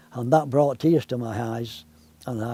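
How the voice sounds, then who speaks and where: There is noticeable background noise as a man of medium pitch speaks at a fairly slow pace with fairly even intonation. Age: 80s+. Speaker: Olympics enthusiast. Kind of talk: interview testimony.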